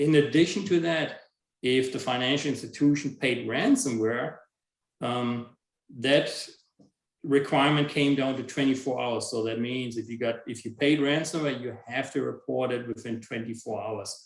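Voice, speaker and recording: A man talks at a moderate pace with fairly even intonation in an ordinary speaking voice. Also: medium pitch for a man. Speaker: information security officer. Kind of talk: webinar presentation.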